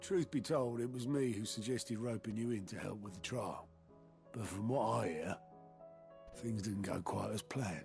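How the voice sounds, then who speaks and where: A raspy, put-on character voice at a moderate pace, with clear music in the background. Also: man. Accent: British. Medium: video game. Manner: folksy, chummy.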